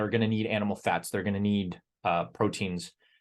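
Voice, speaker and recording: A man with a normal speaking voice talks at a moderate pace, his pitch fairly low and his intonation fairly even, over a quiet background. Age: 30s. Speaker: fitness coach, membership group leader. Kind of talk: group call talk on fitness. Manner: many fillers and repeated words.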